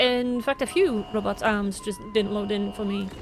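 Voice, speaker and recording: A woman's voice with noticeable background noise. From Cumbria, England. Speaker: game streamer. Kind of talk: scripted game review to camera.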